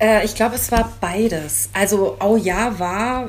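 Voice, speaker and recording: Over noticeable background noise and audible room echo, a woman is speaking. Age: 50s. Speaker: bride interviewed about her second wedding dress. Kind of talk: casual interview.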